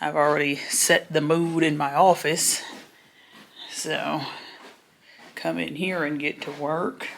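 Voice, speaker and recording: Over noticeable background noise, a woman with a very deep, low pitch speaks at a very slow pace, with long, frequent pauses and fairly even intonation. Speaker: vlogger. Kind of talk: casual vlog chat. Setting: home office, self-filmed. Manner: chatty, casual.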